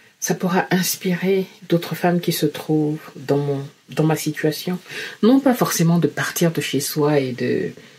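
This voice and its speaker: Somewhat breathy and fairly low-pitched, a woman speaks at a fairly slow pace with ordinary pitch variation. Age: 50s. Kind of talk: personal testimony to camera.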